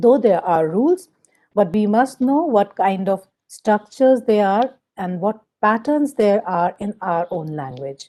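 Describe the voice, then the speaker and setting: A woman with an Indian accent, medium pitch, dark, mellow tone, lively intonation and fairly slow pace. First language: Hindi. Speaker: teacher trainer. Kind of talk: lecture.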